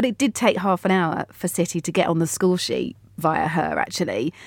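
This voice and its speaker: In a very clean recording with a silent background, a normal speaking voice shows ordinary pitch variation. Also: woman. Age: 40s. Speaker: football podcast host. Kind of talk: casual chat.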